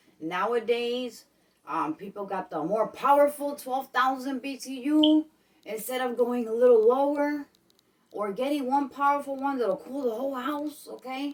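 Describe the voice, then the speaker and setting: Animated in tone, a woman with a New York accent speaks at a moderate pace in a high pitch with ordinary pitch variation. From Brooklyn, New York. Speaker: vlogger. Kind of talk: casual vlog talk. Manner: animated, repetitive.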